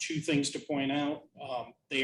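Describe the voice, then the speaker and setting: The speaker is a man with a fairly high pitch. He talks at a moderate pace. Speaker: town council member. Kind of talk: council meeting report. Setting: council meeting. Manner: loud.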